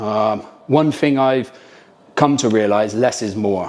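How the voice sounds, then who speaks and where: The speaker has a British accent. Pitch variation is ordinary. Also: man. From Britain. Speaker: military team leader. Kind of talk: gear review talk to camera. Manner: casual, hesitant with frequent ums.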